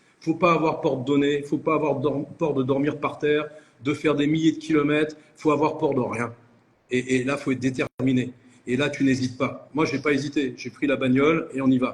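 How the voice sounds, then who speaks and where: A man's fairly high voice at a moderate pace, monotone and flat, over noticeable background noise. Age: 60s. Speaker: entrepreneur. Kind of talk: interview. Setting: live video call.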